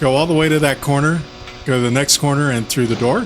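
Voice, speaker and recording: The speaker moves at a moderate pace with fairly even intonation. Music plays in the background. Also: man. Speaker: video game walkthrough host. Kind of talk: gameplay walkthrough commentary. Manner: casual, conversational.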